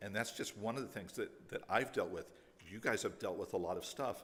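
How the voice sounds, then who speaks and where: A man talking at a fairly quick pace. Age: 60s. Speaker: pastor. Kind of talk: closing remarks to congregation.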